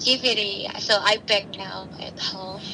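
A woman with an Indonesian accent and fairly even intonation, over noticeable background noise. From Indonesia (Central Java). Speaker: stay-at-home mother. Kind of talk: interview.

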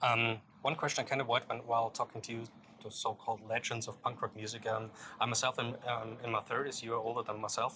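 A man with a German accent talks at a very fast pace in a bright, sharp tone. His medium pitch stays monotone and flat. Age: 30s. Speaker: music interviewer. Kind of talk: interview. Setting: music festival. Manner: halting.

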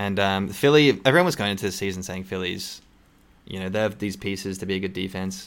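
In a very clean recording with a silent background, a man with an Australian accent speaks very fast in a fairly low pitch with fairly even intonation. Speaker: podcast host. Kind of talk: casual chat about basketball.

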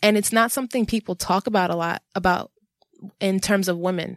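In an American accent, a woman talks at a moderate pace and medium pitch with ordinary pitch variation, the sound dry and close with no echo. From New York, Jamaica, Queens. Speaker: visual artist. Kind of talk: casual chat.

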